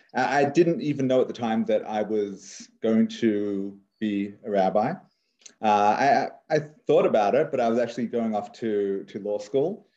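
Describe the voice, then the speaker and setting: The man's voice is medium in pitch with a dark, mellow tone. He speaks fairly slowly, with ordinary pitch variation. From Australia (Sydney). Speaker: rabbi and author. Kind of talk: interview conversation.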